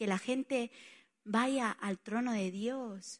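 A woman with an Italian accent and ordinary pitch variation. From Spain, Barcelona. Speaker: pastor. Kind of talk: sermon.

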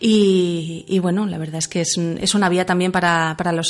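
Noticeable background noise runs under speech delivered at a fairly slow pace with fairly even intonation. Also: woman. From Catalonia, Manresa. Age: 40s. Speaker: author. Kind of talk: radio interview. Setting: radio studio.

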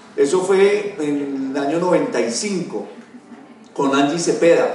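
The voice has ordinary pitch variation, with audible room echo and noticeable background noise. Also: man. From Colombia, Dosquebradas (Risaralda). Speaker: network marketing executive. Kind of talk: motivational life-story talk.

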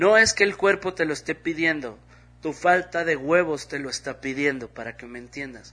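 With music in the background, a man speaks at a fairly high pitch with a Mexican accent, and his loudness swings widely. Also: ordinary pitch variation, moderate pace. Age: 40s. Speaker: comedian. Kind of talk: casual monologue.

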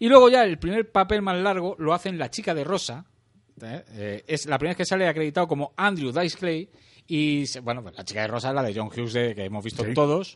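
A man speaks at a very fast pace in a fairly high pitch, with very wide pitch swings and big swings in loudness. The background is quiet. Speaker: podcast host. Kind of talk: casual chat.

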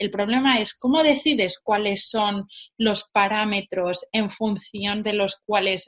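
A woman speaks with a fairly high pitch and an animated tone, her pitch moving in an ordinary way. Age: young. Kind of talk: interview.

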